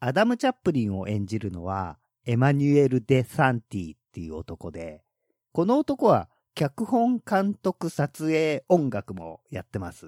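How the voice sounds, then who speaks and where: At a fairly slow pace, a man with a medium pitch uses very wide pitch swings and big swings in loudness. The recording is very clean with a silent background, and the sound is dry and close with no echo. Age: 40s. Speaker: horror film podcast host. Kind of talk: casual chat.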